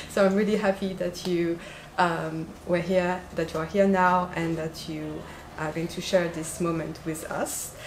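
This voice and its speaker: A woman's fairly low-pitched voice at a fairly slow pace, flat and monotone, with audible room echo and noticeable background noise. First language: French. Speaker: doctoral researcher and event organizer. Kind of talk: conference introduction. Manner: hesitant, many fillers.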